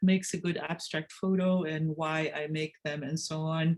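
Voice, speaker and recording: Speaking at a fairly slow pace, a woman with a dark, mellow tone sounds somewhat breathy, her intonation fairly even. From Argentina. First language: Spanish (also German). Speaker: photographer. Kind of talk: presentation. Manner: hesitant, with many fillers.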